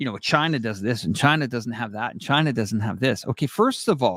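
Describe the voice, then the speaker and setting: A man with a Canadian accent speaks in an unremarkable speaking voice at a moderate pace. His intonation is lively, and the sound is dry and close with no echo. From Canada. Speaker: live stream host. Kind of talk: live stream commentary. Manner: rambling with frequent fillers and self-corrections.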